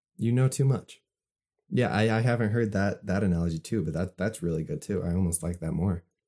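A man with an American accent talks at a fairly quick pace in a fairly low pitch, his tone dark and mellow, with ordinary pitch variation. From Utah, USA. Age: 20s. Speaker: artist and photographer. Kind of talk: casual chat. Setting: remote call. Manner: relaxed.

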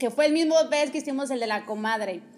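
Her pitch is high. The woman's pitch varies in an ordinary way. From Mexico. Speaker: podcast host. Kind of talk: casual chat. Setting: recorded at guest's home, also live on TikTok.

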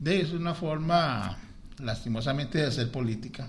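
A man's somewhat breathy voice moves at a moderate pace with lively intonation. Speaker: school principal and vice-mayoral candidate. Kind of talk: radio interview.

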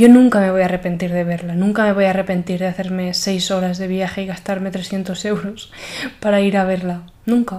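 A woman speaks at a fairly quick pace and medium pitch. Her intonation is monotone and flat, with audible room echo. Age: 20s. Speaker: podcaster. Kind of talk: personal monologue.

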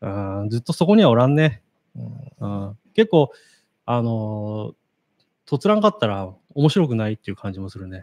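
A man's medium-pitched voice with big swings in loudness, long and frequent pauses, and a dry, close sound with no echo. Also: ordinary pitch variation, moderate pace. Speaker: podcast co-host. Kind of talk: casual chat.

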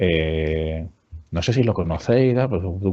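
A man speaks with ordinary pitch variation. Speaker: HR director and business school teacher. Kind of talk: interview.

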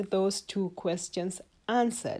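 Over a silent background in a very clean recording, a woman with a non-native accent speaks fairly slowly at a medium pitch in a dark, mellow tone. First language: not English. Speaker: health educator podcaster. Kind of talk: solo health talk. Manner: hesitant with many fillers.

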